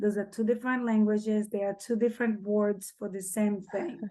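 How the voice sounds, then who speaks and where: Against a quiet background, a woman with a Portuguese accent speaks at a fairly high pitch. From Brazil. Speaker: single mother. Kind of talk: casual chat.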